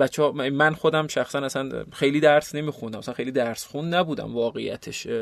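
Barely pausing, a man rattles off his words at a very fast pace with fairly even intonation and a fairly high pitch. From eastern Iran, South Khorasan (Qaen). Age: 30s. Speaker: NGO founder and director. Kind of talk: interview. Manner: halting.

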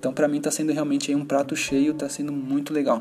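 Using an ordinary speaking voice, a man with a fairly high pitch talks at a fairly quick pace with fairly even intonation. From Brazil, São Paulo. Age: 30s. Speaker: gaming podcast host. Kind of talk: casual solo podcast talk.

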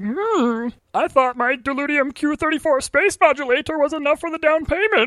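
At a moderate pace, someone uses a put-on character voice pitched high. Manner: upset, indignant.

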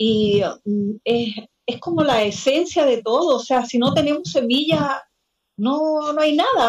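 A woman with lively intonation. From Chile, Salamanca, Coquimbo region. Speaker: home gardener and seed keeper. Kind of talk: video call conversation panel.

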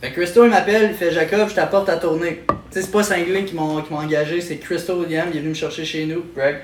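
Over noticeable background noise, a man with a high voice talks at a fairly quick pace with hardly any pauses. His intonation stays fairly even. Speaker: stand-up comedian. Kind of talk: casual chat. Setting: at his home.

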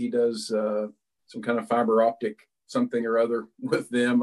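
The man's intonation is fairly even. He speaks at a fairly slow pace. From West Virginia, Philippi. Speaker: pastor. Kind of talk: interview. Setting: video call from home.

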